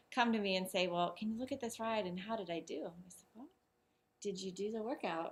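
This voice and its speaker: Somewhat breathy, a woman of medium pitch speaks at a fairly quick pace with ordinary pitch variation. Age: young. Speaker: cycling coach. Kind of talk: interview.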